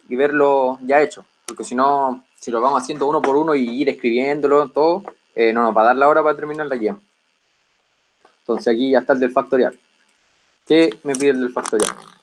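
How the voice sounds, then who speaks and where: In a plain, everyday voice, a man talks at a fairly quick pace with fairly high pitch and fairly even intonation. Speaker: teaching assistant. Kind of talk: lecture.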